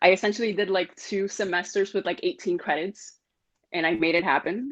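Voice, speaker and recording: Pitch moves in an ordinary way as this woman speaks. She keeps a fairly quick tempo. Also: medium pitch for a woman. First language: not English. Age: 20s. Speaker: nursing graduate. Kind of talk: casual chat. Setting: video call.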